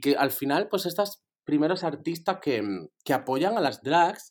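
Taking a fairly slow pace, this man lets his pitch climb and drop very widely. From Spain, Andalusia (Torremolinos). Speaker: drag performer. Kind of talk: casual chat.

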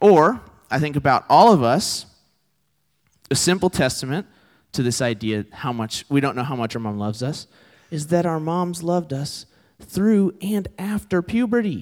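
A man with a Texan accent, fairly high-pitched, very wide pitch swings, moderate pace, long and frequent pauses, on a very clean recording with a silent background. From Texas. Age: 20s. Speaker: campus ministry preacher. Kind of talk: sermon.

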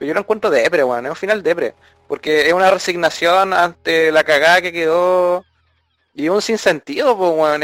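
Recorded with a dry, close sound and no echo, a man with a Chilean accent speaks very fast in a high pitch with lively intonation. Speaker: podcast co-host. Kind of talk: casual chat.

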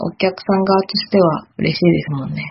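A woman's somewhat breathy voice. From Kyoto, Japan. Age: 20s. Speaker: new farm employee. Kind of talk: casual chat.

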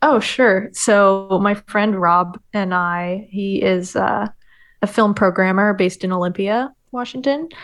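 A woman in a normal speaking voice, medium in pitch with ordinary pitch variation, against a quiet background. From Oregon. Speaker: documentary filmmaker. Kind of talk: casual chat.

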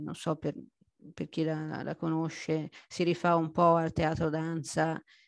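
Against a quiet background, a woman speaks at a moderate pace with a fairly low pitch and a monotone, flat intonation. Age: 50s. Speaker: amateur adult ballet dancer. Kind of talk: interview testimony. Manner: halting.

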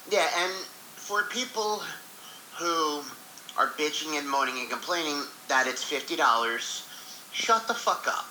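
Over noticeable background noise, a high-pitched man talks fairly slowly with lively intonation and long, frequent pauses. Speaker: co-host. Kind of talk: casual chat.

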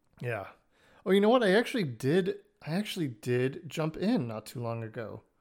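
Recorded very cleanly against a silent background, a man speaks at a moderate pace in a fairly high pitch with very wide pitch swings. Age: 30s. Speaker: podcast host. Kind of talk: casual chat.

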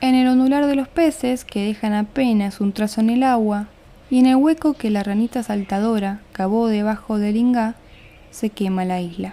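This woman has an unremarkable speaking voice, pitched fairly high, varying in an ordinary way at a moderate pace. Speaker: podcast host and poetry reader. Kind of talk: poetry reading, spoken word.

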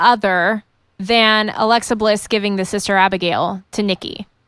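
Recorded very cleanly against a silent background, a woman with a fairly high pitch speaks slowly in a plain, everyday voice. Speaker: wrestling fan and guest co-host. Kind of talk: casual chat about wrestling.

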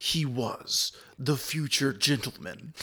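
A man is doing a put-on character voice. He talks at a fairly slow pace. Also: medium pitch for a man. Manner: dramatic, trailer-style.

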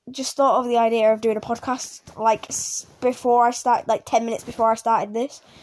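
At a moderate pace, a woman talks with a high pitch in a very clean recording with a silent background. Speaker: gaming youtuber. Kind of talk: casual podcast monologue. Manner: halting, stuttering.

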